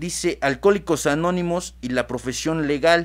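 A man at a fairly high pitch and fairly slow pace, on a very clean recording with a silent background. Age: 20s. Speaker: radio host, AA member, law graduate. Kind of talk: casual talk show discussion. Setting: studio. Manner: halting, repeats words.

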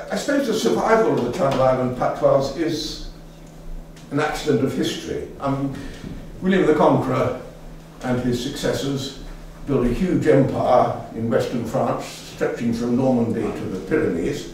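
Long, frequent pauses break up a man's speech at a moderate pace, his pitch fairly high. Strong room echo and light background noise fill the recording. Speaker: local language enthusiast, dictionary compiler. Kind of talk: public lecture. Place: hall.

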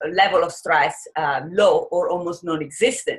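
Over a quiet background, a woman talks with an American accent. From Italian American. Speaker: psychologist. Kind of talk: interview. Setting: video call. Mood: warm and earnest. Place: home room. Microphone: video call.

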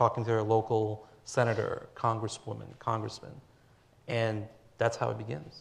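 A man talks at a moderate pace with a medium pitch. His voice is somewhat breathy. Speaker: lawyer, panel moderator. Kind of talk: panel moderation. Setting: stage with audience. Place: hall. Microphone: lapel.

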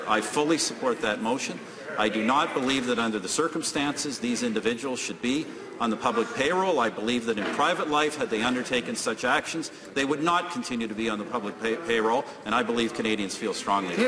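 Very fast speech from a man with ordinary pitch variation runs over noticeable background noise. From Canada. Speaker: prime minister. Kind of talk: parliamentary question period answer. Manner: combative. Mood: firm, defensive. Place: hall.

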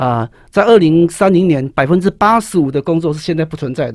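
Lively intonation over a quiet background. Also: man. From Taiwan. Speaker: high school teacher and author; guest, teacher. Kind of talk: interview about his book on writing. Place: studio. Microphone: studio mic.

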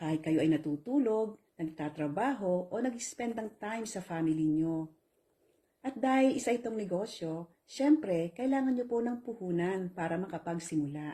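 A woman's dark, mellow tone with very wide pitch swings at a moderate pace. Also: medium pitch for a woman. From Philippines. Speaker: online business promoter. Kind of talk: sales pitch.

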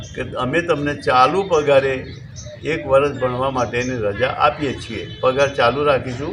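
A man speaks with a fairly high pitch over noticeable background noise. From north Gujarat, Visnagar area (Mehsana). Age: old. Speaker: folk artist and teacher. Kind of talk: interview monologue.

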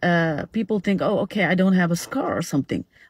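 At a moderate pace, a woman with a somewhat breathy, fairly low voice speaks with ordinary pitch variation in a dry sound with no echo. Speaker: social media educator. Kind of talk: casual informative talk. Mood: calm, serious. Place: car. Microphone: phone near.

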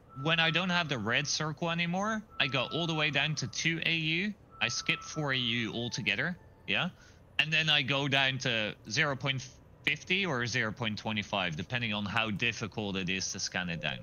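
Here a man talks at a moderate pace with vocal fry. His pitch swings very widely. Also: medium pitch for a man. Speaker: gamer. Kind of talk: casual chat.

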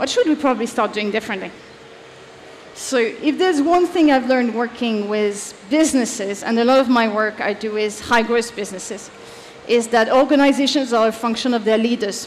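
Someone with a French accent speaks at a fairly quick pace with ordinary pitch variation over light background noise. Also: woman, fairly high pitch for a woman. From France. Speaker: leadership advisor; conference speaker. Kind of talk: conference talk. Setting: stage with audience. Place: stage.

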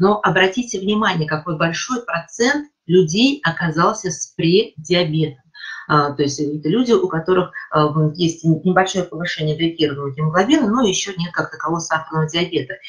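A plain, everyday voice with lively intonation at a moderate pace. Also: woman, fairly low pitch for a woman. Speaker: associate professor of neurology. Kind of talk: lecture. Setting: video call. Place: home room. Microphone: webcam.

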